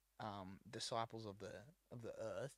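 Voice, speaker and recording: The recording is very clean, with a silent background. A man with an Australian accent talks at a moderate pace. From New South Wales, Australia (rural, near Dubbo). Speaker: musician and podcast co-host. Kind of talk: casual chat.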